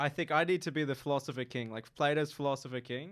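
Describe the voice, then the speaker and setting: A man with an Australian accent speaks at a fairly quick pace and a fairly high pitch. The recording is very clean, with a silent background. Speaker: university student. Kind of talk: casual chat. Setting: radio studio.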